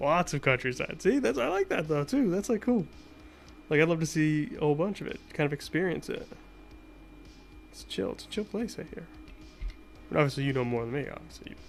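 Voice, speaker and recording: With music behind him, a man talks at a fairly quick pace in a fairly high voice, his intonation lively, his loudness swinging widely and his pauses long and frequent. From US, Boston area. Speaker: retro console modder, streamer. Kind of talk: casual live-stream chat while tinkering. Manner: casual, filler-heavy, repetitive.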